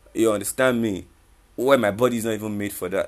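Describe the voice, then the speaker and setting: A man talks at a very fast pace in an animated tone. His pitch sits in the medium range. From Nigeria. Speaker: radio host. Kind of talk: casual radio talk monologue. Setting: studio.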